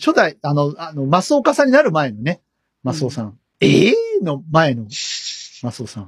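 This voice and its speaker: Somewhat breathy, a man talks at a fairly quick pace with very wide pitch swings, big swings in loudness, and long, frequent pauses. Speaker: podcast host. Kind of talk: casual chat.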